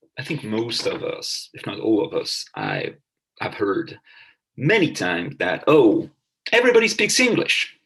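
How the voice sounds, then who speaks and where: A man with a French accent at a fairly slow pace. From France. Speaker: professor. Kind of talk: lecture. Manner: halting.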